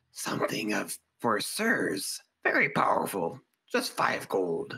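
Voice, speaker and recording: In a raspy, hissing put-on character voice, a man speaks at medium pitch and a fairly slow pace. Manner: creepy, wheedling.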